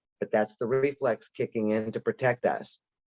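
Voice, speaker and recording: In a normal speaking voice, a man at medium pitch talks at a moderate pace with fairly even intonation, the sound dry and close with no echo. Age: 60s. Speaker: audiologist presenter. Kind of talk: lecture. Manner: casual, conversational.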